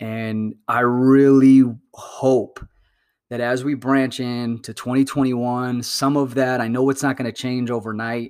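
Over a very clean recording with a silent background, a man with an American accent speaks at a fairly slow pace in a medium-pitched voice with an animated tone. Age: 40s. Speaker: podcast host. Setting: solo podcast. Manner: upbeat, warm.

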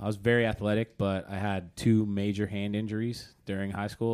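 Fairly quick and monotone, with flat intonation, a man speaks in an American accent at a fairly low pitch. The recording is very clean, with a silent background. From Oklahoma. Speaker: DJ. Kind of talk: casual chat. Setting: studio.

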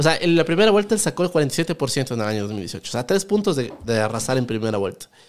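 The man's voice sits fairly high and its pitch swings very widely. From Ecuador, Quito. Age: 20s. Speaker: economist and YouTuber. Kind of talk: podcast interview.

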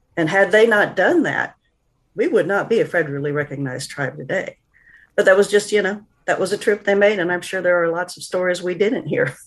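A woman talks in a plain, everyday voice. She has an American accent and a medium pitch. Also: ordinary pitch variation, fairly quick pace. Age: 50s. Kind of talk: interview.

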